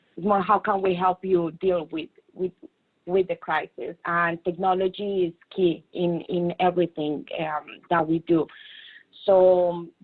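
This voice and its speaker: A woman speaks at medium pitch with a strong non-native accent. Her intonation is fairly even, and her pace is fairly slow. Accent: strong foreign. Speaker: technology consultant. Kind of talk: panel discussion. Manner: hesitant, many fillers.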